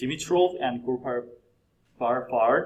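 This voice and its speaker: A man speaks with a Korean accent. His pitch sits in the medium range. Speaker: PhD candidate presenting a research paper. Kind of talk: conference presentation. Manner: halting, with fillers and self-corrections.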